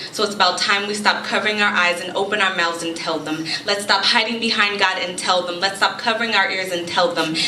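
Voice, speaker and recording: Over noticeable background noise, a woman speaks very fast at a medium pitch, with fairly even intonation and hardly any pauses. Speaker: spoken word poet. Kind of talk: spoken word poetry performance. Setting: live event.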